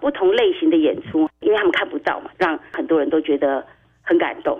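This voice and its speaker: A woman is speaking. She has a Taiwanese accent. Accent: Taiwanese Mandarin. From Taiwan, Tainan. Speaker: parent advocate, mother of a blind son. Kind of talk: radio interview.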